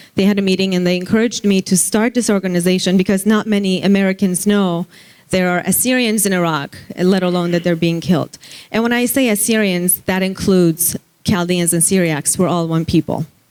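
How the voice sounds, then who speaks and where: Music plays behind a woman who talks at a fairly quick pace. Her intonation is fairly even and her loudness very even. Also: medium pitch for a woman. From Iran. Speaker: human rights advocate. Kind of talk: conference speech.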